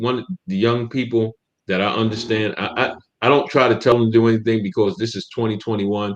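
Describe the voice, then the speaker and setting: With an American accent, a man talks at a fairly quick pace in an ordinary speaking voice of medium pitch. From US Northeast, Camden New Jersey. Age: 60s. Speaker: podcast co-host. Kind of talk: casual discussion.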